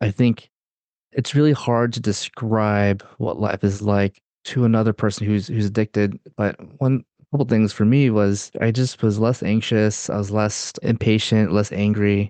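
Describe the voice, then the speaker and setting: Using a plain, everyday voice, a man with an American accent talks at a moderate pace, his loudness very even and his intonation fairly even. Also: fairly low pitch for a man. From US South, North Carolina. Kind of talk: interview.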